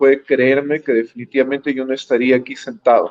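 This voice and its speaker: A man's voice, fairly high-pitched for a man. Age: 60s. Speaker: presidential candidate, lawyer. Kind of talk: interview. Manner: halting, frequent fillers.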